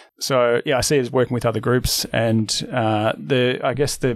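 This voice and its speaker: A man with an Australian accent and medium pitch. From Melbourne, Australia. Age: 40s. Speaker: financial advice firm founder. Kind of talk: casual interview. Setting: office.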